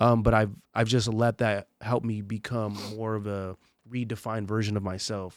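A fairly low-pitched man with an American accent, moderate pace and monotone, flat intonation, in a very clean recording with a silent background. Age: 20s. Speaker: podcast host. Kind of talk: casual interview chat.

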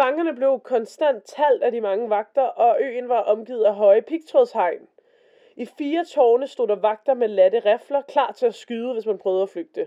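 A high-pitched woman's voice, fairly slow in pace, with ordinary pitch variation. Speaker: podcast co-host. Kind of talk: storytelling about a true mystery. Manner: halting, many filler words.

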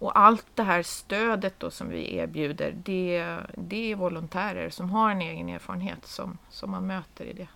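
A woman talks at a moderate pace with big swings in loudness. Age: 50s. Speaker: head of a nonprofit association. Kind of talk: casual chat.

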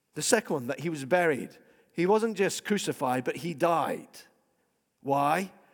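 A man speaks with a Scottish accent. The recording is very clean, with a silent background. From Scotland. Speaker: pastor. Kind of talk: sermon. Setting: church.

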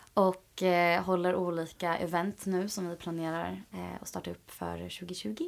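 With hardly any pauses, a woman speaks at a fairly slow pace in a very clean recording with a silent background. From Sweden, Åkersberga. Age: 20s. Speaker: yoga teacher and project founder. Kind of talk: interview.

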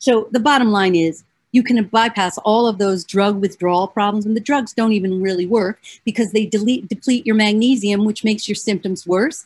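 A woman with a fairly high, somewhat breathy voice talks in an animated tone at a fairly quick pace. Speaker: psychologist and radio show host. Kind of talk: solo talk show monologue promoting a self-help book. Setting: video stream with screen sharing.

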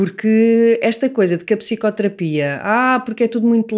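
This woman has a normal speaking voice pitched fairly high. Her pace is moderate and her pitch variation ordinary. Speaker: psychotherapist. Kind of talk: casual chat.

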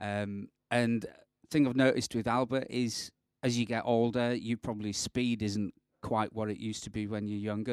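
Recorded with a dry, close sound and no echo, a man with a British accent speaks in a medium pitch at a moderate pace, his tone animated and his loudness swinging widely. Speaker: podcast co-host, guitarist. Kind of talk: casual chat. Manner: jokey, animated.

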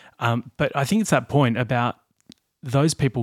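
The voice carries an Australian accent. It moves at a moderate pace. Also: man, very clean recording, silent background. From Australia, Blue Mountains. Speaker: podcast host. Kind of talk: casual chat.

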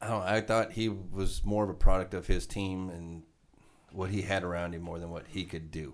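A man speaks with an American accent at a very deep, low pitch. His intonation is fairly even, but his loudness swings widely. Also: moderate pace. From Nebraska. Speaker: podcast co-host. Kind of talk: casual chat.

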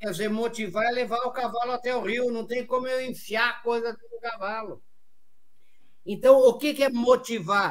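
This man's pitch is extremely high and his intonation fairly even. He talks at a moderate pace, with big swings in loudness. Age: 70s. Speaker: business lecturer and motivational speaker. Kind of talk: interview.

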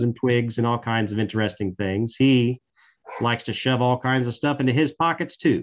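A man speaks at a moderate pace in a Tennessee accent. His pitch is medium, with ordinary variation. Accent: Southern US (Tennessee). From Middle Tennessee, US South. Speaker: park ranger. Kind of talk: interview. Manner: talkative.

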